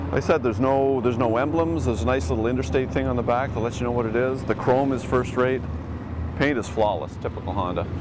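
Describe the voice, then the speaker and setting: A man talks at a very fast pace with a Canadian accent. Noticeable background noise and audible room echo are present. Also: medium pitch for a man, ordinary pitch variation. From Canada. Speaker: motorcycle journalist. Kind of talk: casual interview.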